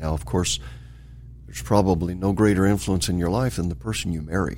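A man with an American accent speaks at a moderate pace in a very deep, low pitch with a dark, mellow tone and vocal fry, with audible room echo around him. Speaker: bishop. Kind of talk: interview.

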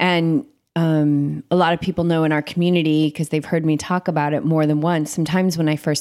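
Recorded very cleanly with a silent background and a dry, close sound with no echo, a woman with an American accent talks at a fairly quick pace in a very deep, low pitch with monotone, flat intonation. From US Northeast, Cape Cod. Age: 40s. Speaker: meditation and yoga coach. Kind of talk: casual interview chat.

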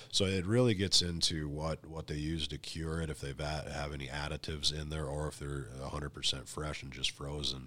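This man has a very deep, low pitch and a bright, sharp tone. He speaks at a fairly quick pace with fairly even intonation. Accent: Upper Midwest US. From North Dakota. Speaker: ice fishing pro staffer. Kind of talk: casual interview.

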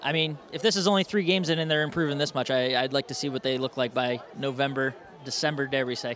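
Here a man speaks at a very fast pace. His pitch is fairly high, with ordinary pitch variation. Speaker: color commentator. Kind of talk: live sports commentary analysis. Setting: radio broadcast from stadium.

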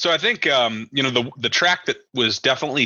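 In an American accent, a man talks in a normal speaking voice at a fairly quick pace with lively intonation. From US Midwest. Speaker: podcast co-host. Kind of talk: casual chat.

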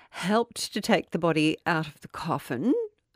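A woman with an Australian accent, fairly low-pitched, at a fairly slow pace, in a dry, close sound with no echo and a very clean recording with a silent background. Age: 50s. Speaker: podcast co-host and radio presenter. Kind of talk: casual chat with storytelling.

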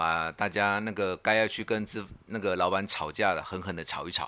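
Over a silent background in a very clean recording, a man with a fairly low pitch and a bright, sharp tone speaks at a moderate pace. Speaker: union secretary. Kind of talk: casual chat.

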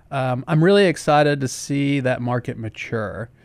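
With a Southern US accent, a man speaks at medium pitch and a moderate pace. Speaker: county sustainability director. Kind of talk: casual chat. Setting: studio.

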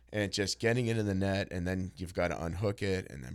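Very fast and energetic, a man talks at a very deep, low pitch with vocal fry. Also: very clean recording, silent background. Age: 40s. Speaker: jiu-jitsu instructor and entrepreneur. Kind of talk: casual interview.

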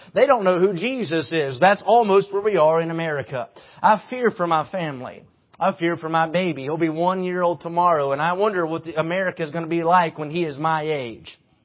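Fairly quick and animated, a high-pitched man with an Appalachian accent speaks with ordinary pitch variation. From West Virginia. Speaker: preacher. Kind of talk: sermon.

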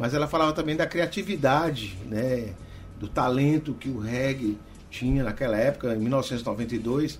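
A somewhat breathy man's voice of medium pitch at a fairly slow pace. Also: ordinary pitch variation. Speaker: reggae DJ. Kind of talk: radio dj patter, upbeat promo of the event. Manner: warm, upbeat, chatty.

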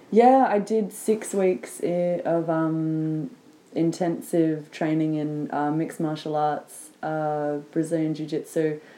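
A woman with an Australian accent speaks very slowly in a very deep, low voice, her tone dark and mellow and her pitch varying in an ordinary way. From Sydney, Australia. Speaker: guest. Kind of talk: casual chat. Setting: sitting on the floor at home.

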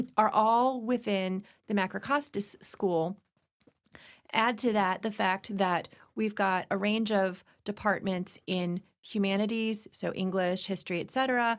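A woman with an American accent and an ordinary speaking voice, medium pitch, fairly even intonation and a fairly slow pace, on a very clean recording with a silent background. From Virginia, US. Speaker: university dean. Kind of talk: interview.

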